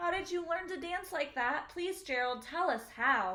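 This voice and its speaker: A put-on character voice at a moderate pace. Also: woman, extremely high pitch for a woman. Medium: read story.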